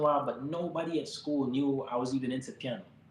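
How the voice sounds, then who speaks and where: The speaker has an American accent and fairly even intonation. Noticeable background noise runs underneath. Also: man. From Miami, Florida (Jamaican family). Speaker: pianist, musician. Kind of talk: interview conversation. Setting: live stream.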